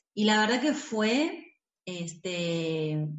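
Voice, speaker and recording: Speaking with an Argentine accent, a woman uses lively intonation. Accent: Rioplatense Argentine Spanish. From Buenos Aires, Argentina. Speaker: movement teacher. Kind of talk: interview.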